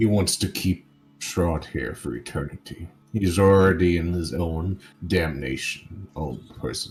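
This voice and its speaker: Very deep, low pitch and a fairly slow pace in a man's put-on character voice. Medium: actual play. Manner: formal, solemn.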